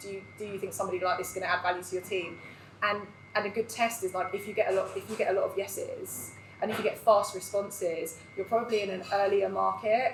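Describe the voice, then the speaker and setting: There is noticeable background noise as a woman talks at a very fast pace. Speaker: recruitment business owner. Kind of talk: live panel discussion. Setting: live event with audience. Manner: loud.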